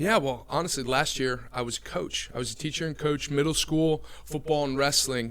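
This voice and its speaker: With an American accent, a man speaks at a moderate pace and medium pitch with fairly even intonation, over noticeable background noise. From New Jersey. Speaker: recruiter. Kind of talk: podcast interview.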